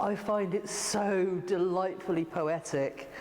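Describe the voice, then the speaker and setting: This woman's speech comes through with noticeable background noise. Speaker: artist and arts organiser. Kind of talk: interview answer.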